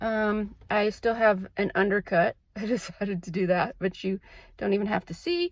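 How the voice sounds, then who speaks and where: At a fairly slow pace, a woman talks in a normal speaking voice. Her medium pitch has ordinary pitch variation. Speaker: licensed clinical social worker. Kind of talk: casual vlog talk to camera. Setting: in a car.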